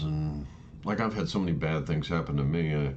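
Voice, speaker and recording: A man is heard with audible room echo. Background noise is noticeable. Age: 60s. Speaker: vlogger sharing personal views. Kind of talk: casual monologue. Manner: halting, many false starts.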